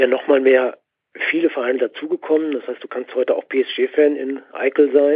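A man with an unremarkable speaking voice talks at a fairly slow pace and a medium pitch. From Ruhr area, Germany. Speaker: football magazine editor and author. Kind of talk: casual chat.

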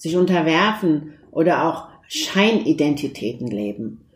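A woman is speaking. Her pitch is fairly low. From Turkey. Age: 50s. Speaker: lawyer and mosque founder. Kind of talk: interview.

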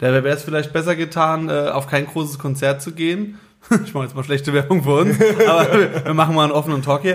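Speaking at a fairly quick pace, a man has a fairly high pitch and an unremarkable speaking voice. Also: ordinary pitch variation. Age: 30s. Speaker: band musician. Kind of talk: casual chat.

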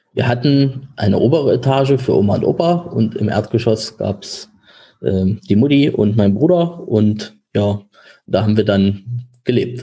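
Somewhat breathy and with a dark, mellow tone, a man speaks at a fairly slow pace in a medium pitch, with ordinary pitch variation and very even loudness. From Germany, village. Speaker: insurance broker. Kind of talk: interview. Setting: office.

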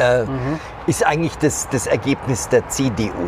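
A man's medium-pitched voice, very slow, with ordinary pitch variation and noticeable background noise. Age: 50s. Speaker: political journalist. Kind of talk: casual political discussion. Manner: halting.

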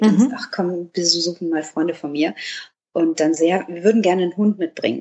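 Her voice sits fairly low and shifts in pitch in a normal way, an ordinary speaking voice from a woman. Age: 30s. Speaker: dog blogger, office clerk. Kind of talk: casual interview. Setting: indoors.

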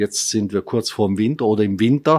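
Delivered at a moderate pace, it is a normal speaking voice with lively intonation. The sound is dry and close with no echo, on a very clean recording over a silent background. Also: man. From Italy. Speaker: tourism executive. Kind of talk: radio interview. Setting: studio.

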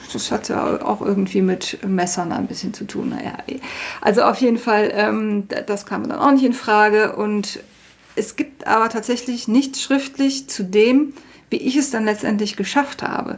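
A woman with a fairly high pitch and an unremarkable speaking voice talks at a fairly slow pace with ordinary pitch variation. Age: 40s. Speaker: self-taught baker. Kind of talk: interview.

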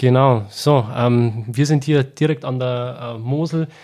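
This man talks at a medium pitch in a flat, monotone way. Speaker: podcast host. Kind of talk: interview, wine tasting chat. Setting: at winery.

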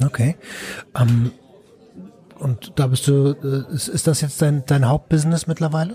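Amid noticeable background noise, a man with a fairly high pitch and ordinary pitch variation speaks with long, frequent pauses. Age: 30s. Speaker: podcast host, recovery helper. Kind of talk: podcast interview.

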